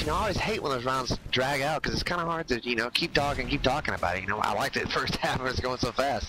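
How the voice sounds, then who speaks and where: With noticeable background noise, a man speaks at a very fast pace in a fairly high pitch with ordinary pitch variation. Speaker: esports shoutcaster. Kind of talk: live commentary. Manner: stuttering.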